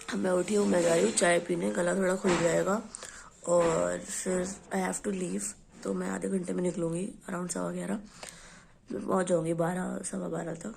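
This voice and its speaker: Delivered at a moderate pace with long, frequent pauses, the speech carries audible room echo and noticeable background noise. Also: woman. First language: Hindi. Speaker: vlogger. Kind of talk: casual vlog talk.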